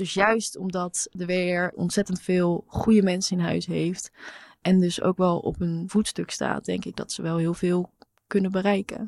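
Delivered at a fairly slow pace in a flat monotone, the speech has a dry, close sound with no echo. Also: woman, medium pitch for a woman. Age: 20s. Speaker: intern. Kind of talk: casual chat.

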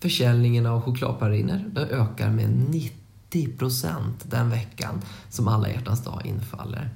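Medium-pitched male voice with a dark, mellow tone and vocal fry, fairly slow, with ordinary pitch variation and audible room echo. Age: 30s. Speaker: educational podcast co-host. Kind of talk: educational explainer chat.

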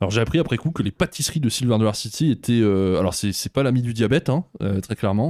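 Lively intonation and a fairly quick pace mark a plain, everyday voice, heard in a dry, close sound with no echo. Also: man. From France. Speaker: theme park youtuber. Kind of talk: casual chat.

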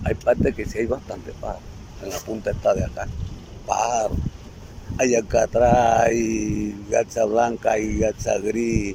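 A man speaks at a fairly slow pace while noticeable background noise carries on behind him. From La Boquilla, Cartagena, Caribbean coast of Colombia. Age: 70s. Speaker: community elder. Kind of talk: testimony.

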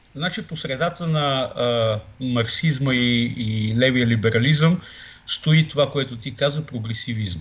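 A man speaks at a fairly slow pace in a medium pitch, somewhat breathy. His pitch varies in an ordinary way. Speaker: political scientist. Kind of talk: political interview. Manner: hesitant, many fillers.

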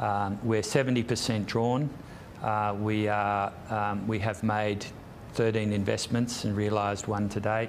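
A man with an Australian accent, fairly low-pitched and monotone, at a very slow pace with very even loudness and audible room echo. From Sydney, Australia. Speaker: property investment executive. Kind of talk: interview. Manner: hesitant, many fillers.

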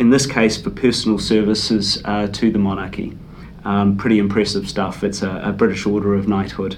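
Against noticeable background noise and audible room echo, a man with a New Zealand accent talks at a moderate pace in a fairly low pitch with monotone, flat intonation. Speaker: podcast host. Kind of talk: interview.

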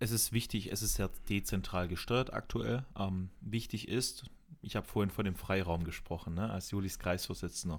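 A man speaks at a moderate pace in a fairly low voice, with ordinary pitch variation and an unremarkable speaking voice. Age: 20s. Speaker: local youth party chair, sales rep. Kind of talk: interview conversation.

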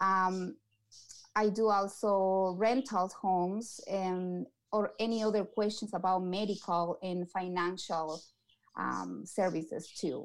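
Woman's medium-pitched voice, very slow pace and fairly even intonation. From Ecuador. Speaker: community outreach coordinator. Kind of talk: interview. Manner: halting.

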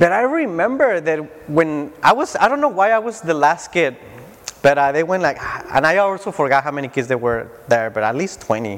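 Over noticeable background noise, a man with a Spanish accent speaks at a fairly high pitch, his pitch swinging very widely. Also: moderate pace. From Mexico (Tijuana). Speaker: preacher. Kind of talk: sermon. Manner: halting.

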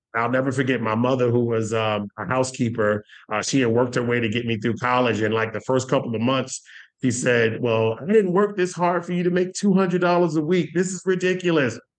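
A man speaks in a plain, everyday voice at a medium pitch, with lively intonation and a fairly quick pace. The background is quiet. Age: 40s. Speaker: payment industry sales executive. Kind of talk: interview.

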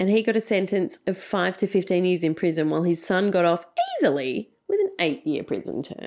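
Speaking in a strong Australian accent, a woman uses a medium pitch, ordinary pitch variation and a fairly quick pace. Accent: broad Australian. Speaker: podcast host and producer. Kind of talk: casual storytelling chat.

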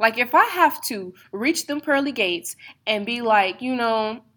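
Her bright, sharp tone and ordinary pitch variation come through on a very clean recording with a silent background, a woman speaking. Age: 20s. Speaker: podcast host. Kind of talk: solo casual monologue. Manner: conversational, many fillers.

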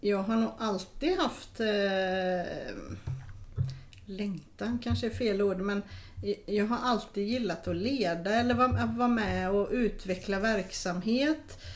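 A woman at medium pitch with ordinary pitch variation and very even loudness, talking at a very slow pace amid audible room echo. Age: 40s. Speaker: occupational therapist. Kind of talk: casual interview.

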